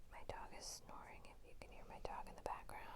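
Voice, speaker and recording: A woman's whispering at a fairly quick pace. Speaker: ASMR crochet creator. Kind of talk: ASMR whisper talk. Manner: whispered, soft-spoken.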